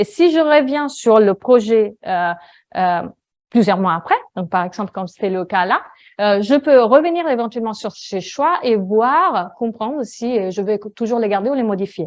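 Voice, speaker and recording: A woman speaks in an Italian accent at a fairly slow pace. Her fairly high pitch rises and falls with lively intonation. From Italy. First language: Italian (speaking French). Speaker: data visualization designer. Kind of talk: conference talk. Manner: hesitant, many fillers.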